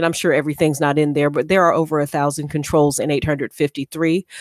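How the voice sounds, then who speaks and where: A woman at a very fast pace, dry and close with no echo, on a very clean recording with a silent background. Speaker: cybersecurity presenter. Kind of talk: lecture. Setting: conference talk.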